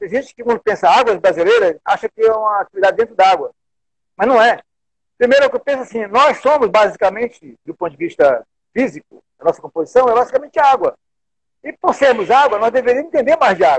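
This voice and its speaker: Racing along very fast, a man talks with an extremely high pitch and lively intonation. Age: 60s. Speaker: wellness and exercise instructor. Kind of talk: casual interview.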